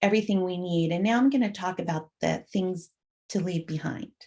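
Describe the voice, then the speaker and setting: A soft-spoken woman talks in a medium pitch. Her pace is fairly quick and her intonation lively. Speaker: conference presenter on peer networking. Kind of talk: conference presentation.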